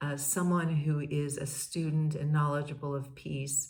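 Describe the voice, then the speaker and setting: A woman's somewhat breathy voice, very deep and low in pitch, monotone and flat, at a fairly slow pace with audible room echo. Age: 60s. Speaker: podcast host, peace educator. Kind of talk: casual monologue. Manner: halting, many fillers and repeats.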